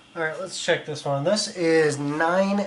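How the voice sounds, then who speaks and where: A man with a high voice speaks at a fairly slow pace. There is noticeable background noise. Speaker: pottery instructor. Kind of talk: tutorial.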